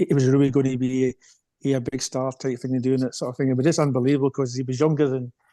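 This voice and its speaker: With a Scottish accent, a man at medium pitch talks in a monotone, flat way, captured with a dry, close sound and no echo. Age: 60s. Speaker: retired runner and coach. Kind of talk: podcast interview. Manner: halting, many fillers.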